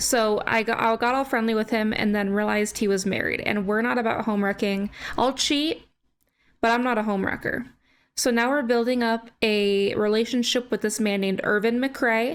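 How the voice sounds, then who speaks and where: A woman at a moderate pace, fairly high in pitch, with fairly even intonation and very even loudness, on a very clean recording with a silent background. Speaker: gaming YouTuber. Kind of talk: gameplay commentary. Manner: casual, chatty.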